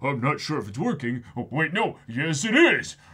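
A man puts on a character voice, pitched fairly high, and keeps a moderate pace. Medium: read story. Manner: eager, enthusiastic.

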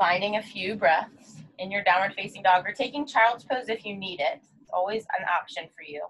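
With light background noise behind her, a woman speaks at a moderate pace, her intonation lively and her loudness swinging widely. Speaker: yoga instructor. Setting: online video class, solo instructor. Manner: calm, soothing, gentle cueing; warm, friendly, encouraging. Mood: calm, soothing. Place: home room. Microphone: camera far.

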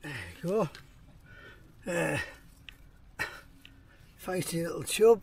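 With a Teesside accent, a man speaks slowly at a fairly high pitch, his slightly mellow tone carrying vocal fry, a slightly husky edge and ordinary pitch variation. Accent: Teesside, northern English.

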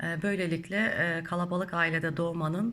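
There is audible room echo as a woman with a fairly low pitch talks at a moderate pace. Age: 40s. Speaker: spiritual YouTuber. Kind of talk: Q&A monologue. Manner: halting, many filler sounds.

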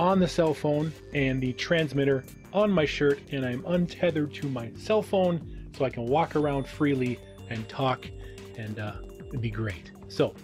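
Clear music plays in the background. A man speaks over it at a fairly slow pace. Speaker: channel host. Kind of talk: casual vlog chat. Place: home room. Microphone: studio mic.

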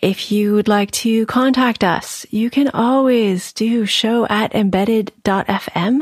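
Someone reads aloud plainly.

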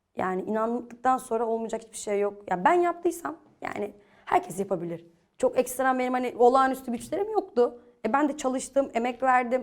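A woman's high-pitched voice at a fairly quick pace, with lively intonation and big swings in loudness. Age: 20s. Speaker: young entrepreneur, safety equipment business owner. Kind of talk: TV interview.

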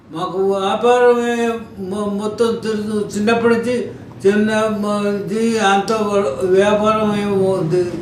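A man speaks in a high pitch with monotone, flat intonation. There is audible room echo and noticeable background noise. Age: 80s+. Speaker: devotee. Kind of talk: interview. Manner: halting.

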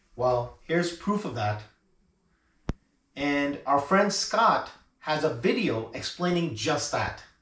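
A man is heard with audible room echo. Light background noise sits behind him. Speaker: woodworking channel host. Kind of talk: casual vlog intro. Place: workshop.

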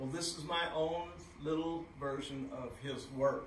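Recorded with audible room echo and light background noise, a man speaks at a fairly slow pace. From Texas. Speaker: author and postcard collector. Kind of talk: presentation. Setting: stage with audience. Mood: modest, friendly. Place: hall.

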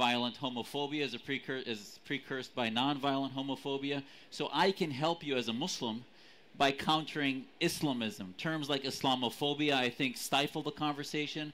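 A man speaks with an American accent at a moderate pace, his pitch fairly high. His tone is bright and sharp, with fairly even intonation. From Syrian family, US. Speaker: advocacy group leader; panelist. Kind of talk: heated debate. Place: stage.

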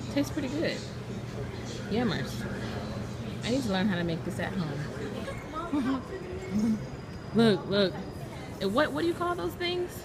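Speech comes at a fairly slow pace with long, frequent pauses, over crowd noise in the background. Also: woman. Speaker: vlogger. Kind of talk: casual vlog chat. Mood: playful, excited. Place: station. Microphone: phone near.

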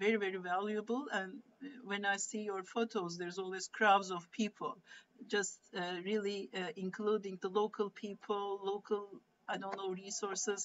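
A woman speaks with a Turkish accent at a moderate pace and with fairly even intonation. Light background noise can be heard behind her. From Turkey. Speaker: moderator asking question. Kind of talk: casual chat. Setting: video call. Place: home room. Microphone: video call.

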